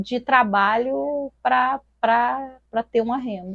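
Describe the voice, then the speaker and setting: In a dry, close recording with no echo, a woman speaks with a high pitch. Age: 40s. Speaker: artisan. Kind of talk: interview testimony. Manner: halting.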